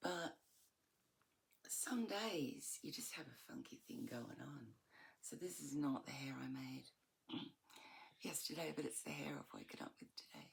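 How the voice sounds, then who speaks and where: With an Australian accent, the speaker moves at a fairly slow pace, with long, frequent pauses. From Australia, Melbourne. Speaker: vlogger. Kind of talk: casual monologue. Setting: at home in bedroom. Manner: halting, searching for words.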